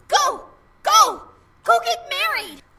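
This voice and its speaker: An energetic, squeaky put-on character voice pitched extremely high. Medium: video game. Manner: earnest, energetic.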